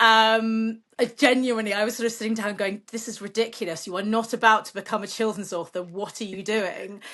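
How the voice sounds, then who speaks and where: A woman's fairly high, bright, sharp voice with a British accent, monotone, flat intonation and big swings in loudness, at a fairly quick pace with hardly any pauses against a quiet background. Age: 40s. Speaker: children's author. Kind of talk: interview. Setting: podcast.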